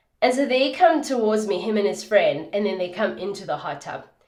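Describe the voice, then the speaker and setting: Amid audible room echo, a woman speaks in an animated tone. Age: 30s. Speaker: skincare vlogger. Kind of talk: casual chat.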